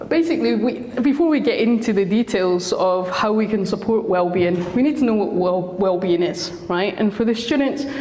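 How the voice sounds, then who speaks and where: A medium-pitched woman with a Scottish accent, lively intonation, very even loudness, a moderate pace, hardly any pauses, audible room echo and noticeable background noise. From Scotland. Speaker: school counsellor. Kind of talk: talk to parents.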